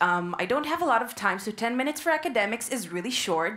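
A woman talks at a very fast pace with lively intonation. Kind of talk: lecture. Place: hall. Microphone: headset.

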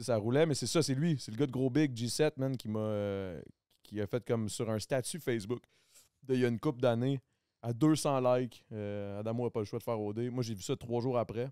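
With a Quebec accent, a man talks at a moderate pace in a dark, mellow tone with ordinary pitch variation, the sound dry with no echo and the background quiet. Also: medium pitch for a man. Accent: Québécois French. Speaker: podcast host. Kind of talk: casual chat; casual podcast conversation. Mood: relaxed, joking. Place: studio. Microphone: studio mic.

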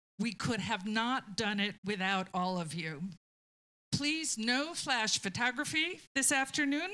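Speaking at a fairly slow pace, a woman has a bright, sharp tone. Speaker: library staff host. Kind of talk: event introduction. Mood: warm, lightly humorous. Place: meeting room. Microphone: handheld.

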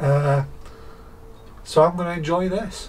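The voice belongs to a man. His pitch moves up and down in an ordinary way. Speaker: beer reviewer. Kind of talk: casual vlog chat. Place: garage.

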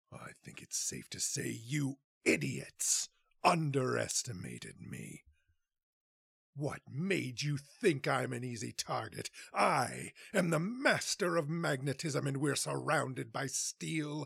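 In a put-on character voice, a man speaks raspily at a medium pitch, recorded very cleanly against a silent background. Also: fairly slow pace. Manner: taunting, arrogant.

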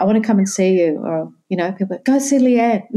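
A woman's medium-pitched voice with an Australian accent and ordinary pitch variation. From Sydney, Australia. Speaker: yoga association president and yoga teacher. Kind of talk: interview conversation.

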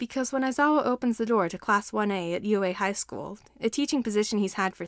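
A natural reading voice with ordinary pitch variation

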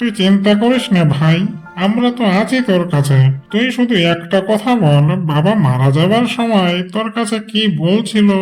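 A cartoonish character voice from a man, high in pitch, at a moderate pace over faint music in the background. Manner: coaxing, calculating.

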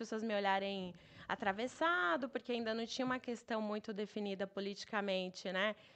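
A woman talks fairly quickly in a fairly high voice, her pitch varying in an ordinary way. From Brazil, Bahia (Itabuna); Bahia, Brazil. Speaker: travel entrepreneur; podcast guest. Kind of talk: casual interview chat. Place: studio. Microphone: studio mic.

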